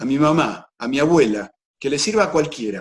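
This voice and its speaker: A man speaks with an Argentine accent. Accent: Argentine Spanish (Rioplatense). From Argentina. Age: 60s. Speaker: personal development speaker, documentary maker. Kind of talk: interview.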